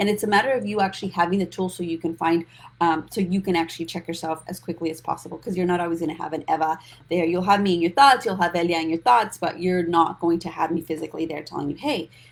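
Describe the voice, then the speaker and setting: A woman speaks very fast with a fairly low pitch. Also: ordinary pitch variation. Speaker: financial coach. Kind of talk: live stream talk. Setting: social media livestream. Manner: animated.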